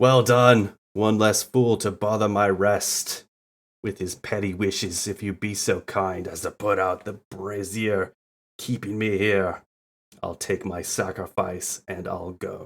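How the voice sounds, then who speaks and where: Putting on a character voice, a man speaks fairly slowly in a raspy, fairly low tone. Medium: game stream. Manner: contemptuous, gloating.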